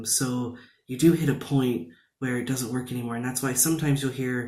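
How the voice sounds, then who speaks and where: An American-accented man talks with audible room echo. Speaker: video blogger. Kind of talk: casual vlog talk. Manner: many fillers and restarts.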